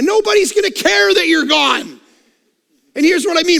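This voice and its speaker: A man speaks in a raised, projected voice, his pitch swinging very widely. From Canada. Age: 40s. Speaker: pastor. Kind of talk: sermon. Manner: animated.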